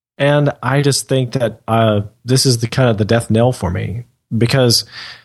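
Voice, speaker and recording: Against a quiet background, a man talks at a medium pitch in a somewhat breathy voice with ordinary pitch variation. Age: 20s. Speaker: podcast co-host. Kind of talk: casual chat.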